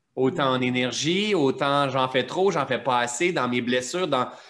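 The man's pitch varies in an ordinary way as he talks. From Quebec. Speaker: mentor and personal development teacher. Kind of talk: interview, reflective teaching. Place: home room. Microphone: video call.

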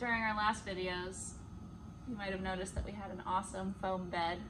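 A woman speaks in a monotone with flat intonation and vocal fry. Background noise is noticeable. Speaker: vlogger. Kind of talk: casual vlog chat. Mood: cheerful, laughing. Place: car. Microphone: phone near.

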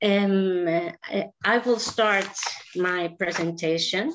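A woman speaks with a Greek accent. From Greece. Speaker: special education teacher. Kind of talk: presentation. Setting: video call. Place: home room. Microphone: webcam.

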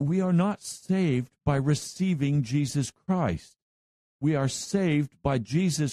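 Speaking at a very slow pace, a man with a fairly high pitch and a dark, mellow tone shows ordinary pitch variation and very even loudness in a dry, close sound with no echo. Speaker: pastor. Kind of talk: radio sermon. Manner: slow, methodical.

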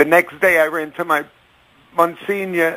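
A man's raised, projected voice carries a bright, sharp tone at a moderate pace. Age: 50s. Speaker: caller.

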